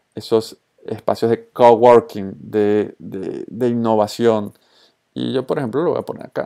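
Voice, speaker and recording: In a very clean recording with a silent background, a man with a Colombian accent, a medium pitch and a dark, mellow tone speaks at a fairly slow pace with fairly even intonation. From Venezuela. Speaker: social media consultor and trainer. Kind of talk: tutorial.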